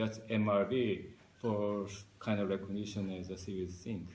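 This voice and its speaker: Amid audible room echo, a man with a Korean accent and fairly low pitch speaks at a fairly slow pace. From South Korea. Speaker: marine scientist. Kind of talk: interview. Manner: halting.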